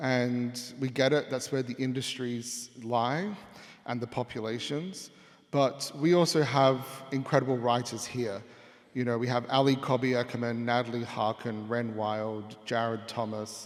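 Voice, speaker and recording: Fairly slow and fairly even in intonation, a man with an Australian accent speaks at medium pitch. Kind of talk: panel discussion.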